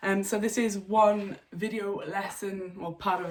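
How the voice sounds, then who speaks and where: A woman speaks with a Yorkshire accent at a fairly slow pace and medium pitch. Noticeable background noise runs under her voice. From North Yorkshire, England. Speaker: English teacher. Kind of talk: online English lesson to camera. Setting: home.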